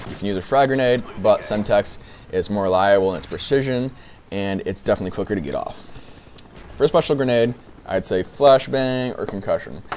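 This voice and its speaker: Over noticeable background noise, a man talks at a fairly quick pace with big swings in loudness. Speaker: gaming YouTuber. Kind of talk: gameplay commentary. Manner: halting, many fillers; casual.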